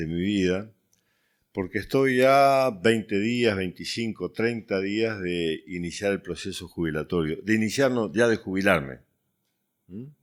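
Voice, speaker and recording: A man speaks in a normal speaking voice at a fairly slow pace with lively intonation, on a very clean recording with a silent background. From Uruguay. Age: 60s. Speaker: youth ministry director. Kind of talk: testimony.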